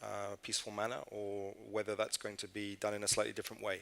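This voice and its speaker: This man has a fairly low pitch. He speaks with a British accent. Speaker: international organization communications director. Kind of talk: panel discussion.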